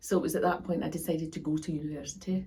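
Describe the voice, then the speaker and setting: With a Glasgow accent, a woman speaks in a fairly low pitch with vocal fry. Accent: Scottish (Glasgow). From Scotland, Glasgow. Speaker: professor. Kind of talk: interview. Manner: halting, with frequent fillers.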